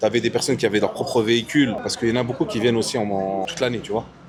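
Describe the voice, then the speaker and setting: Over noticeable background noise, a man speaks at a very fast pace with a medium pitch. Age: 20s. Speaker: entrepreneur, former vehicle transporter. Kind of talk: casual interview.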